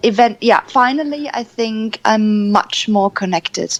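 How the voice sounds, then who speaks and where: A woman in a German accent at a fairly high pitch, ordinary pitch variation and moderate pace, in a dry, close sound with no echo. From Germany. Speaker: energy coach. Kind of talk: radio interview.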